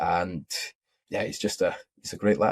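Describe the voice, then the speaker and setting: A man with a Scottish accent and a fairly low pitch speaks at a moderate pace, the sound dry and close with no echo. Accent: Scottish, toned down a bit. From Scotland. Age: 20s. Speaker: futures trader and technical analyst. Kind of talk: podcast interview. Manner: casual, friendly.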